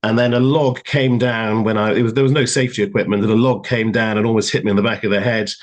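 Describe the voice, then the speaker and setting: At a very fast pace, a man with a British accent and medium pitch keeps very even loudness, fairly even intonation and hardly any pauses. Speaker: lawyer. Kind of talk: live panel interview.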